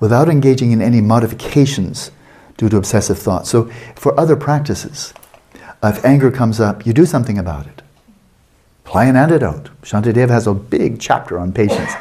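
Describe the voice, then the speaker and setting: A man's somewhat breathy voice with a dark, mellow tone, at a very fast pace amid audible room echo. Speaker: Buddhist meditation teacher. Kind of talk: lecture. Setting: meditation retreat.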